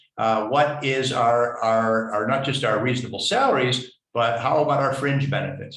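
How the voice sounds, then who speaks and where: A man talks at a fairly quick pace with a medium pitch. His intonation is fairly even, and audible room echo surrounds him. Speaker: webinar presenter on grant management. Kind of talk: webinar lecture. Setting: online webinar. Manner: fast.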